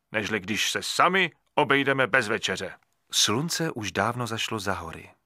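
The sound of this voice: Quiet background behind an unforced reading voice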